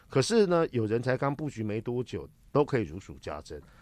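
Speaking at a moderate pace in a medium-pitched voice, a man swings his pitch very widely on a very clean recording with a silent background. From Taiwan. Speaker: political commentator and lecturer. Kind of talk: casual interview.

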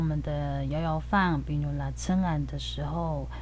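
A woman with a Taiwanese accent speaks at a fairly slow pace in a very deep, low pitch with fairly even intonation. Noticeable background noise and audible room echo fill the recording. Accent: Taiwanese Mandarin. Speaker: podcast host. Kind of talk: casual podcast chat with language teaching.

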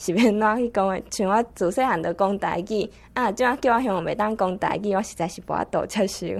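A woman talks in an ordinary speaking voice at a medium pitch, moving at a fairly quick pace with hardly any pauses and ordinary pitch variation. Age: 20s. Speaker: university student. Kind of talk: prepared spoken talk.

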